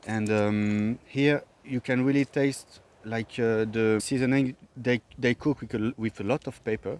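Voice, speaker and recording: A man speaks with a French accent in a medium pitch and fairly even intonation. The sound is dry and close, with no echo. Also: fairly slow pace. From France, Paris. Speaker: visitor to the island. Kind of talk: casual chat. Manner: halting.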